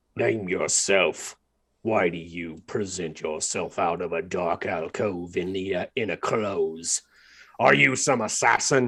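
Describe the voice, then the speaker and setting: In a put-on character voice, a man sounds raspy and gruff, with a very deep, low pitch and a fairly slow pace, on a very clean recording with a silent background. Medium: actual play.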